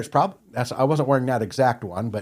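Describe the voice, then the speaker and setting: A man's medium-pitched voice with an American accent and ordinary pitch variation, on a very clean recording with a silent background. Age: 50s. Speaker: retired firefighter and log truck driver. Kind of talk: podcast interview. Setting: studio. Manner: casual, hesitant with fillers.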